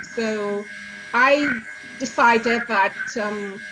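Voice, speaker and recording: A woman with a high pitch and ordinary pitch variation speaks over noticeable background noise. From Africa. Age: 60s. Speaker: cookbook author. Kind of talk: interview.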